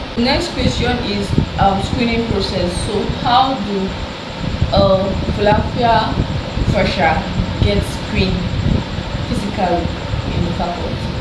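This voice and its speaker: Amid loud background noise and audible room echo, a woman talks at a fairly slow pace with long, frequent pauses and ordinary pitch variation. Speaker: interviewer. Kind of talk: interview questions. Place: home room. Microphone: camera far.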